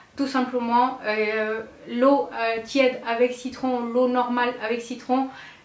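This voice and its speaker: A woman's very slow speech with audible room echo and noticeable background noise. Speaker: beauty vlogger. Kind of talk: casual vlog tutorial. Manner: hesitant, many fillers.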